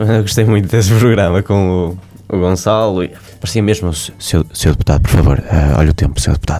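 Noticeable noise sits behind this man's voice. He speaks at a fairly quick pace with a very deep, low pitch. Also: ordinary pitch variation. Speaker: podcast host. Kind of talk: casual interview chat. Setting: studio.

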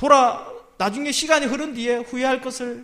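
A man speaks at an extremely high pitch with a bright, sharp tone. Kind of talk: sermon. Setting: church.

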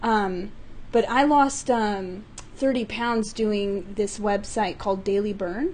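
A woman with an American accent at a very slow pace, fairly high in pitch with ordinary pitch variation, amid audible room echo. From US West (California, Utah). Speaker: improv comedian. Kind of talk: casual chat.

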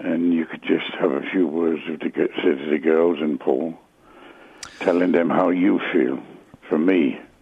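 A man's very slow, fairly evenly intoned speech against noticeable background noise. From England, Luton. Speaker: caller. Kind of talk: emotional phone call. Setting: phone call. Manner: halting.

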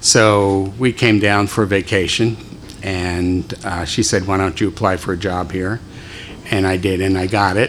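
A man with an American accent speaks at a fairly slow pace in a very deep, low pitch. His intonation is monotone and flat, with noticeable background noise behind him. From Philadelphia. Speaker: deacon. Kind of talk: talk to a church group.

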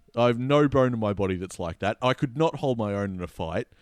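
Recorded very cleanly with a silent background and a dry, close sound with no echo, a man talks at a very fast pace in a medium pitch with lively intonation. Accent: Australian. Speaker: podcast host. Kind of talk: casual chat, sports recap.

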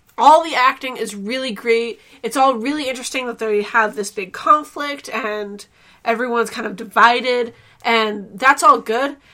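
Bright, sharp female voice at a moderate pace. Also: fairly high pitch for a woman, ordinary pitch variation, big swings in loudness. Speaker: podcast host. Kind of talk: casual chat.

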